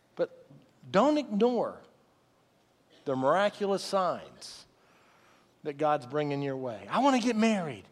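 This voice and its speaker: Pausing long and often, a man with a high pitch talks at a fairly slow pace, his pitch swinging very widely. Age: 50s. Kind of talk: sermon. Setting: church. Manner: animated.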